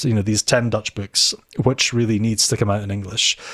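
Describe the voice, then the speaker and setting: Speaking at a fairly quick pace, a man uses a Scottish Highland accent and a medium pitch. The recording is very clean, with a silent background. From Scotland, Inverness. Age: 40s. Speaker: theology lecturer. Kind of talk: interview. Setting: office.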